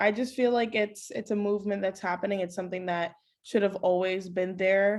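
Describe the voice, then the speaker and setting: In an American accent, a woman speaks at a fairly quick pace with monotone, flat intonation against a quiet background. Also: medium pitch for a woman. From Queens, New York. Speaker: sports journalist. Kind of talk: interview.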